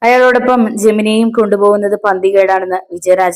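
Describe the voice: Ordinary pitch variation in plain reading aloud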